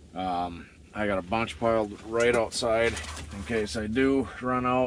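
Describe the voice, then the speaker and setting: A man takes a fairly slow pace while noticeable background noise carries on behind him. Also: medium pitch for a man, ordinary pitch variation. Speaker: outdoorsman / winter camper. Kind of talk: casual talk to camera. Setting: outdoors. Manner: relaxed, hesitant.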